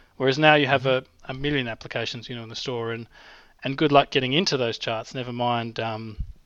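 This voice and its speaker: A man with an Australian accent at a very fast pace, medium in pitch, over a quiet background. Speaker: app developer. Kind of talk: casual chat.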